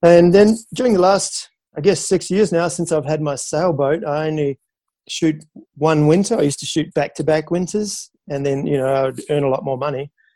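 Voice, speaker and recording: This man has a fairly high pitch and a dark, mellow tone, with a New Zealand accent. He talks at a moderate pace with ordinary pitch variation. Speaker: professional photographer and sailor. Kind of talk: interview. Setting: remote call.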